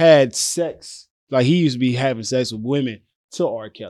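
A man's normal speaking voice with lively intonation. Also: very clean recording, silent background. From Louisiana, US South. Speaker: comedian, social media creator. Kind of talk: casual chat. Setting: studio.

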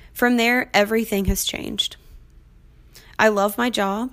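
Background music accompanies a woman's voice. She talks with a medium pitch at a moderate speed. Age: 20s. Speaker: podcast host and dog trainer. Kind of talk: casual solo podcast intro.

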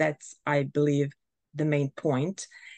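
A woman speaks with a dry, close sound, no echo at all, against a quiet background. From Bosnia and Herzegovina. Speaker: artist and art journaling teacher. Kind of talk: interview. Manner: hesitant, many fillers.

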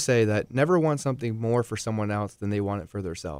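Using an unremarkable speaking voice, a man talks at a fairly quick pace with lively intonation. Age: 30s. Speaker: entrepreneur and realtor. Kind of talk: radio interview.

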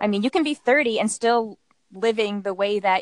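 Using a plain, everyday voice, a woman speaks at a moderate pace with lively intonation, the sound dry and close with no echo. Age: 30s. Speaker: self-published author. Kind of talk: casual chat.

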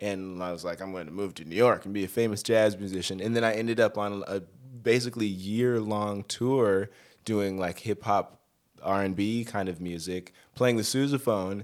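With an American accent and a normal speaking voice, a man talks at a moderate pace and a fairly low pitch, his intonation fairly even but his loudness swinging widely. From Colorado, Denver. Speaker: touring musician and arranger. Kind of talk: casual interview chat.

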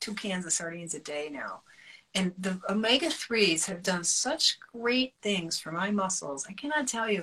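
A plain, everyday voice moves at a fairly slow pace. Its intonation is lively. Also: woman. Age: 50s. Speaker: nutrition educator and author. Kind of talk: interview on a live stream. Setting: live video stream.

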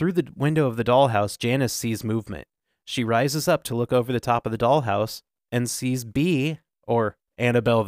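This is plain reading aloud with ordinary pitch variation and a quiet background.

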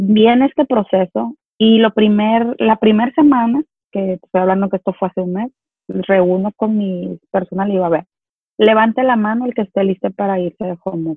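A woman speaks in a normal speaking voice at medium pitch and a moderate pace. Her pitch varies in an ordinary way. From Mexico, Culiacán (Sinaloa). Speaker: business owner. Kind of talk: interview.

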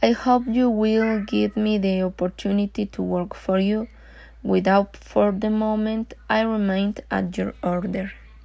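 Against a quiet background, a woman with a Mexican accent speaks at a fairly slow pace. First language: Spanish. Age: 20s. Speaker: job applicant. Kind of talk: self-introduction for job application. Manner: halting.

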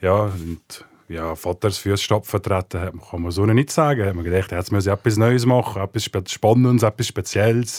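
Fairly low pitch and a moderate pace from a man with a plain, everyday voice, his pitch varying in an ordinary way. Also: very clean recording, silent background. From Switzerland, rural village. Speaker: talent agent. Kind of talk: casual interview.

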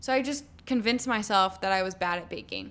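The pace is fairly quick. It is an ordinary speaking voice with ordinary pitch variation. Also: woman. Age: 20s. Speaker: podcast host. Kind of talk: casual solo talk. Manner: casual, filler-heavy.

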